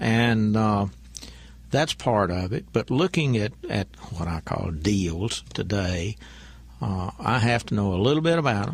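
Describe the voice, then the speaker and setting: A man with an unremarkable speaking voice talks at a fairly slow pace, his fairly low pitch carried by lively intonation. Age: 60s. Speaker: banker and businessman. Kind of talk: radio interview.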